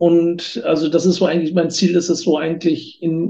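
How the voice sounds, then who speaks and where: Dark and mellow in tone, a man speaks at a moderate pace. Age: 40s. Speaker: tax advisor and auditor. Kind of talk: interview. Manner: hesitant, many fillers.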